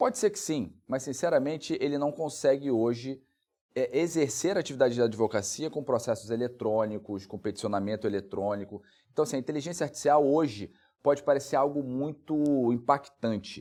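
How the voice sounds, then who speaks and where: A man with a plain, everyday voice speaks at a fairly high pitch with lively intonation, on a very clean recording with a silent background. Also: fairly quick pace. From Brazil, Rondônia. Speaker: lawyer and legal researcher. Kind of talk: interview.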